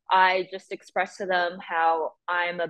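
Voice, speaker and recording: A woman's fairly low voice with an American accent. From US (emigrated from Chongqing, China at age six). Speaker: film editor. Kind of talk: interview.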